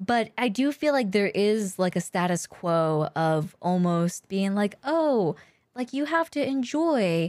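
A woman's voice with very wide pitch swings, in a very clean recording over a silent background. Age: 30s. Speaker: streamer and podcast co-host. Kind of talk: casual chat. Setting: live stream.

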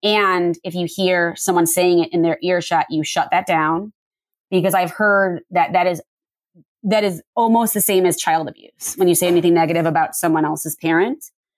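A woman with an unremarkable speaking voice at a moderate pace. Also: fairly low pitch for a woman, fairly even intonation. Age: 40s. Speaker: memoir author. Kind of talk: interview.

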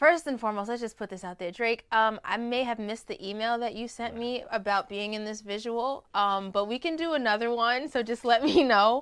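The speaker has a plain, everyday voice and ordinary pitch variation, moving at a fairly quick pace with hardly any pauses. The recording is very clean, with a silent background. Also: woman, fairly high pitch for a woman. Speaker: singer and recording artist. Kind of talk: casual chat interview.

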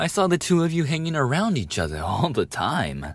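A somewhat breathy man with very wide pitch swings, in a very clean recording with a silent background. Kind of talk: scripted bully roleplay, ASMR audio drama. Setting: audio roleplay performance. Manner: aggressive, taunting, sneering with mocking laughs; snarling and explosive, jeering during the fight, then cracking and desperate.

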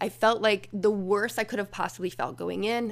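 A woman is speaking with vocal fry. Her pitch varies in an ordinary way. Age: 40s. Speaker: podcaster sharing personal therapy experiences. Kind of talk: personal monologue. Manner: casual, conversational with laughs.

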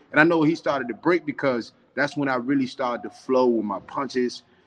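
The speaker is a man with a medium-pitched voice. He talks at a fairly quick pace. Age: 20s. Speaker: professional boxer. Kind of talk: interview.

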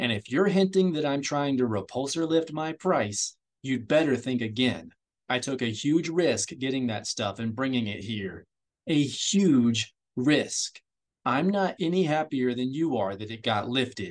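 Putting on a growling character voice, a man talks at a moderate pace with medium pitch and lively intonation. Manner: growling, defensive.

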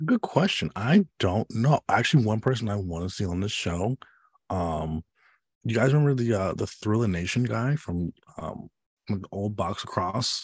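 In a very clean recording with a silent background and a dry, close sound with no echo, a man uses a normal speaking voice, fairly low in pitch with lively intonation. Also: moderate pace. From Chicago south suburbs, Illinois. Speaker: podcast co-host. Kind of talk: casual chat.

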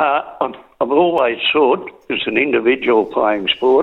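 A man in an Australian accent at a moderate pace. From Drouin, Gippsland, Victoria, Australia. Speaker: sports journalist. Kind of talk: radio interview.

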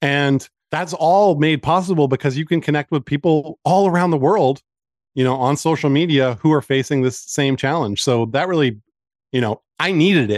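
A man with a normal speaking voice, fairly high in pitch, talks at a moderate pace with ordinary pitch variation and very even loudness. The sound is dry and close with no echo, over a quiet background. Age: 40s. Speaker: cancer support community founder. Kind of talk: interview.

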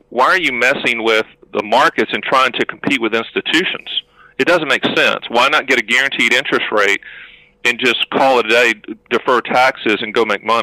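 A man with a plain, everyday voice talks at a fairly quick pace in a medium pitch with ordinary pitch variation and very even loudness, recorded with a dry, close sound and no echo. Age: 50s. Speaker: annuity agent and author. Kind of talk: podcast interview.

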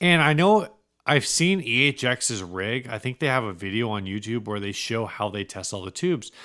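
The man's voice sits at a medium pitch and has a bright, sharp tone. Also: moderate pace. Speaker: gear podcast co-host, guitarist. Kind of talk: casual chat. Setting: home garage.

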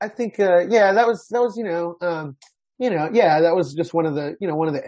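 Intonation rises and falls in a lively way. Words move along at a fairly quick pace. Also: man. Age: 40s. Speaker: author and college English teacher. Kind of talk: interview. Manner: halting, many fillers.

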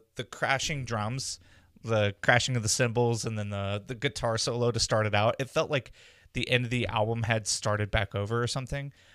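At a moderate pace, a man speaks in a plain, everyday voice with a medium pitch and fairly even intonation, on a very clean recording with a silent background. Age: 20s. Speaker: music podcast host. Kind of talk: casual chat.

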